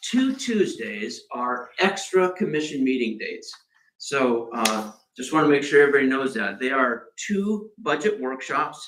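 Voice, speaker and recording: Loud and bright with a sharp tone, a man speaks at a fairly slow pace. His pitch makes very wide swings. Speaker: city manager. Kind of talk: budget presentation at public meeting. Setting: commission meeting room. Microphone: no microphone, far from recording mic.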